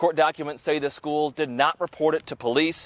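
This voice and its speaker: A man with a plain, everyday voice, fairly high in pitch, talking at a fairly quick pace in a dry, close sound with no echo. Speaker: TV news anchor and reporter. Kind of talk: TV news reporter package voiceover.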